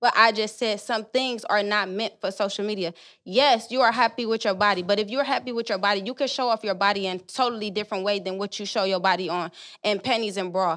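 Speaking very fast, a woman keeps a medium pitch. Her intonation stays fairly even. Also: quiet background. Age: 20s. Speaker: podcast guest, host's friend. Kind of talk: casual chat.

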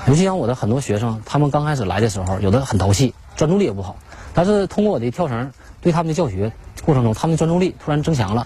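A man talks at a very fast pace with very wide pitch swings. Background noise is noticeable. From Liaoning, northeast China (Shenyang). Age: 40s. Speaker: rope-skipping athlete and coach. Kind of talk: interview testimony. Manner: halting.

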